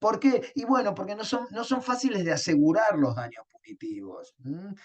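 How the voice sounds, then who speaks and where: This man's pitch swings very widely as he speaks. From Argentina, Río de la Plata. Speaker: law lecturer. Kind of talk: lecture. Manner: halting, many fillers and repetitions.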